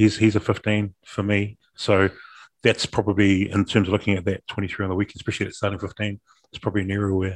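In a dry, close recording with no echo and a quiet background, a man with a New Zealand accent speaks very fast in a fairly low, monotone, flat voice. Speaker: rugby podcast co-host. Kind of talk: casual chat.

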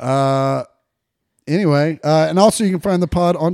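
A man's dark, mellow voice with an American accent and lively intonation, very cleanly recorded against a silent background. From Kansas City area, US Midwest. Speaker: podcast co-host. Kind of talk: casual chat, comedic banter. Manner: profane, jokey.

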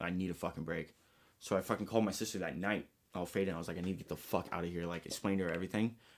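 In an American accent, a man speaks at a very fast pace with a very deep, low pitch. The recording is very clean with a silent background. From Los Angeles, San Fernando Valley. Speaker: podcast guest telling life story. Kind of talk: casual chat. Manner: animated.

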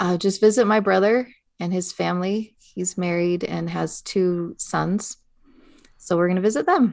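A woman with an unremarkable speaking voice speaks at a medium pitch and fairly slow pace, her intonation fairly even. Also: quiet background. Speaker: podcast co-host and teacher of English learners. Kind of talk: casual chat.

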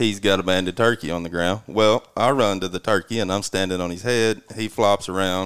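Using a normal speaking voice, a man talks at a fairly quick pace with a fairly low pitch, fairly even intonation, and hardly any pauses. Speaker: turkey hunter. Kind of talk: casual chat.

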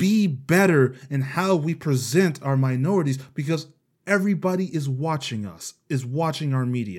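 On a very clean recording with a silent background, a man with an American accent speaks in a plain, everyday voice, fairly slowly and at a fairly high pitch, with ordinary pitch variation. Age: 20s. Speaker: podcast host. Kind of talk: casual chat.

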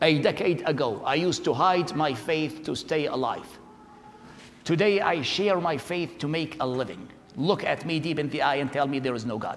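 Speaking at a moderate pace with an Iraqi accent, a man uses a fairly high pitch and ordinary pitch variation against noticeable background noise. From Iraq, Baghdad. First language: Arabic. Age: 40s. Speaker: preacher, convert from Islam. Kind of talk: testimony.

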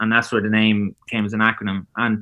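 In an Irish accent, a man speaks at a fairly quick pace with a bright, sharp tone. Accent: Irish (Louth). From Ireland, Drogheda. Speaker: tech startup founder. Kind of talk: podcast interview.

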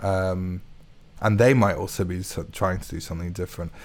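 A man's fairly low, monotone, flat voice at a moderate pace. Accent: London. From London and Hertfordshire, England. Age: 20s. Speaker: composer. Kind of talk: casual chat. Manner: halting.

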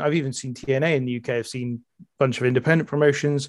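A man's voice sits fairly high in pitch and moves at a fairly quick pace. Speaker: podcast guest, wrestling podcaster. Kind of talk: casual chat. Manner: fast.

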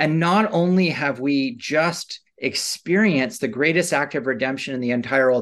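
Against a quiet background, a man speaks in an unremarkable speaking voice at a fairly high pitch. His pace is moderate and his intonation lively. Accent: Canadian. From Canada. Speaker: seminary professor. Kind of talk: interview about biblical theology.

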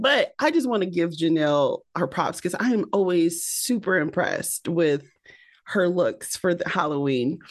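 Against a quiet background, a woman with a fairly low pitch and an unremarkable speaking voice talks at a moderate pace, her intonation lively and her loudness very even. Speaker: podcast host. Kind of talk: casual chat.

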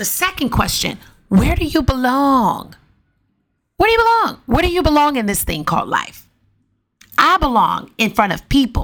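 A high-pitched woman's animated voice at a moderate pace, with very wide pitch swings and long, frequent pauses. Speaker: podcast host. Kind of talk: casual solo monologue. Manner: talkative, animated.

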